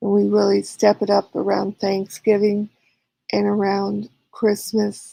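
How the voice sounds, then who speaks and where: Speaking at a fairly slow pace, a woman talks with a slight Southern US accent. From California. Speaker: live streamer. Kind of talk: casual chat reading viewer comments. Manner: hesitant with frequent fillers.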